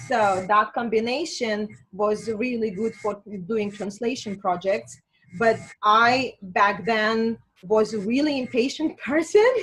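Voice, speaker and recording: A woman with a Russian accent, fairly high in pitch, with ordinary pitch variation, at a fairly slow pace. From Azerbaijan. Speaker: spiritual healer and coach. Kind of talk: interview.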